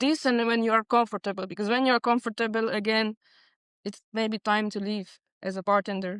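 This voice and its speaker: Fairly even intonation with a Hungarian accent, in a dry, close recording with no echo and a quiet background. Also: woman. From Transylvania, Romania (Hungarian minority). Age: 30s. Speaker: bartender. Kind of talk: panel interview.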